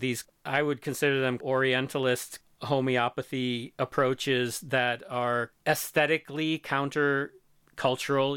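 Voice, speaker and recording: A man's ordinary speaking voice at a medium pitch, with fairly even intonation. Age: 50s. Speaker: multimedia producer, DJ and writer. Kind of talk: interview conversation. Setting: remote call.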